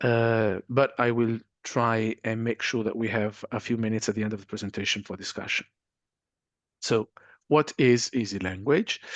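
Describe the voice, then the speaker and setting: A man at a medium pitch, dry and close with no echo, over a quiet background. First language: not English. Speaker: university lecturer. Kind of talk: webinar presentation. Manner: hesitant, many fillers.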